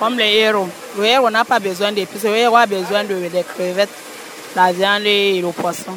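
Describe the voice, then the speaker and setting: A woman's fairly even intonation over noticeable background noise. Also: medium pitch for a woman, fairly quick pace. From western Cameroon, Bamileke. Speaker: spice vendor. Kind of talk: vox pop.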